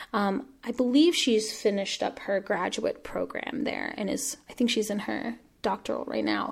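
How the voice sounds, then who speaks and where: With hardly any pauses, a woman talks at a moderate pace and a fairly high pitch. Her voice shows vocal fry and ordinary pitch variation. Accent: American. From Washington State, US. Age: 20s. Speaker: playwright and arts activist. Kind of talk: interview conversation.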